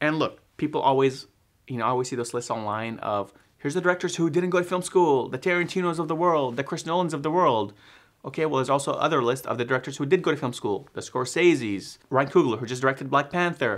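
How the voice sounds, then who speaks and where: Against a quiet background, a man with an American accent talks at a very fast pace. His pitch is fairly high, with ordinary pitch variation. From Texas suburbs. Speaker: filmmaker and video editor. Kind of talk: casual vlog talk to camera. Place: home room.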